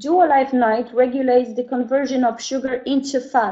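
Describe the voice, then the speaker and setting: The speaker has a Polish accent. The background is quiet. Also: woman. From Poland. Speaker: network marketing presenter; presenter. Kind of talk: online sales presentation. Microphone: webcam.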